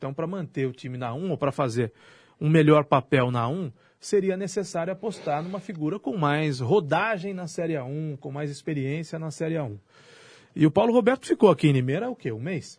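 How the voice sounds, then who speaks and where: Against a quiet background, a man with a normal speaking voice talks at a moderate pace and a fairly high pitch, with lively intonation and big swings in loudness. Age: 40s. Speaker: radio host. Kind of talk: casual radio debate.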